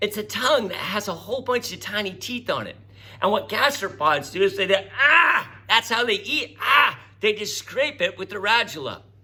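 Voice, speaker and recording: A man speaks at a moderate pace in a high pitch, his intonation lively, with noticeable background noise behind him. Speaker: teacher. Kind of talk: recorded classroom lecture.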